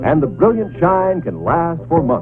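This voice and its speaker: With music in the background, a man talks at a fairly slow pace in a fairly high pitch. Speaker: commercial announcer. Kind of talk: 1950s TV commercial read.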